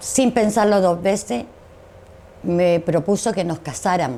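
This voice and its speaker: The pace of this woman's speech is fairly slow. Her pitch moves in an ordinary way. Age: 60s. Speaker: dictatorship survivor. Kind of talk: interview testimony.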